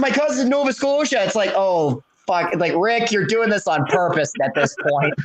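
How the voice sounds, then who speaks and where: At a fairly quick pace, a man with a slight Canadian accent speaks in a high voice with very wide pitch swings. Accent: mild Canadian English. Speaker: podcast co-host. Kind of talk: casual chat. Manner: animated.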